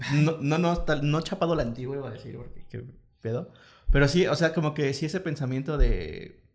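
Speaking at a fairly quick pace, a man with a fairly high voice and vocal fry keeps a fairly even intonation while his loudness swings widely. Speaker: podcast host. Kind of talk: casual chat.

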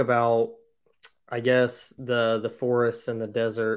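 In a plain, everyday voice, a man with an American accent talks at a medium pitch. He holds a moderate pace, and the recording is very clean with a silent background. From Indiana. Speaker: podcast host, hunter. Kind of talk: casual interview.

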